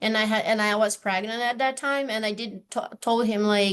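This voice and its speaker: A woman with a Brazilian accent talks at a moderate pace in a fairly high, monotone, flat voice over a quiet background. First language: Portuguese. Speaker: university office manager. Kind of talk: panel discussion.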